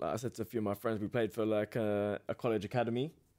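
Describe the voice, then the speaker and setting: A man's fairly low voice has a dark, mellow tone and monotone, flat intonation over a quiet background. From England. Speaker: professional boxer; podcast guest. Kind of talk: casual interview. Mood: relaxed, conversational. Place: studio. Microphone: studio mic.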